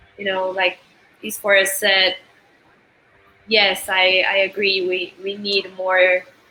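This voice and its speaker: A woman with an Argentine accent speaks at a very slow pace and medium pitch in monotone, flat intonation, with noticeable background noise. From Argentina. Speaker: musician. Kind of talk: interview conversation.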